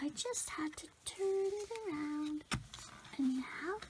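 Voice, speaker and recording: The voice is quiet. Noticeable background noise sits behind it. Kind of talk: ASMR LEGO build narration. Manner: tiny, calming, quiet.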